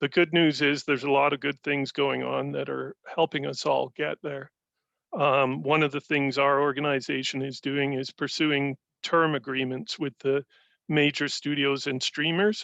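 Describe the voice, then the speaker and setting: This man has a fairly high pitch and a bright, sharp tone. His intonation stays monotone and flat. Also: moderate pace. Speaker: union or industry representative. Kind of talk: industry update presentation.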